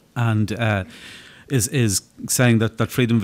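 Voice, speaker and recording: This man has an Irish accent and a medium pitch. His intonation stays fairly even. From Ireland. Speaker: atheist activist. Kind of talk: panel discussion answer. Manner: halting, repeats words.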